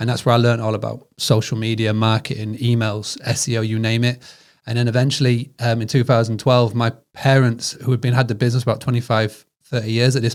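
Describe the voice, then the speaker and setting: In a British accent, a man with a medium-pitched voice talks at a very fast pace with monotone, flat intonation. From northern England. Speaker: hospitality business founder. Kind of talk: podcast interview. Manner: halting.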